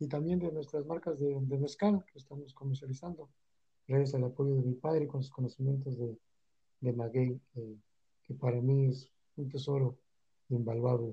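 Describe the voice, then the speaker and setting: Somewhat breathy and dark, mellow in tone, a man with a fairly high pitch speaks at a moderate pace with ordinary pitch variation. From Texcala, Puebla, Mexico. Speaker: mezcal and salt producer. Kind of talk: interview.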